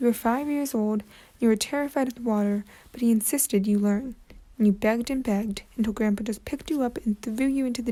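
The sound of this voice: It is an unforced reading voice with ordinary pitch variation.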